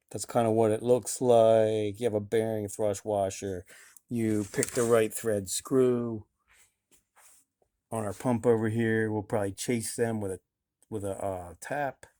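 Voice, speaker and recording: In a very clean recording with a silent background, a man with a dark, mellow tone and medium pitch speaks in a monotone, flat intonation at a fairly slow pace, with long, frequent pauses. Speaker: car hobbyist video host. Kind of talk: garage tutorial. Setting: home garage. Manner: casual, hesitant with fillers.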